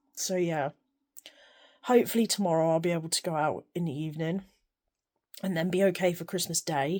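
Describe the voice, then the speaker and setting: A woman's fairly low voice with an English accent, fairly even intonation, and long, frequent pauses. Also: fairly quick pace. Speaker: sewing vlogger. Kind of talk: casual vlog.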